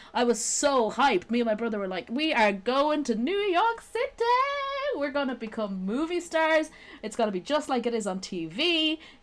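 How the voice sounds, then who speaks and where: Noticeable background noise sits under a woman's high voice, which moves through very wide pitch swings. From Ireland, Dublin. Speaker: live streamer. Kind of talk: casual chat.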